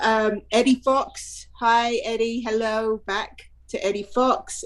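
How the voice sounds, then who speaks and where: A woman speaks with a British accent. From England. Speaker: podcast co-host, former attorney. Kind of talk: casual chat. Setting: video call livestream. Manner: animated.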